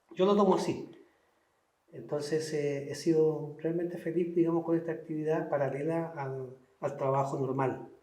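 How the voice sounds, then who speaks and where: A man's fairly high-pitched voice at a fairly slow pace, with fairly even intonation and audible room echo. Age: 60s. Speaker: painter. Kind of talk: interview. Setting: cultural center. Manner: halting, repetitive.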